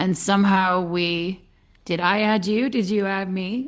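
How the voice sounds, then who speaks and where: A woman talks with a British accent. Her pitch sits in the medium range. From Britain. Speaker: podcast host. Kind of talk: casual interview chat.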